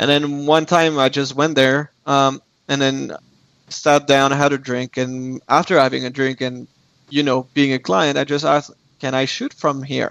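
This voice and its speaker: A man talks at a moderate pace in a French accent, his fairly high voice flat and monotone. The sound is dry and close, with no echo. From France. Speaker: architectural photographer. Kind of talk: interview.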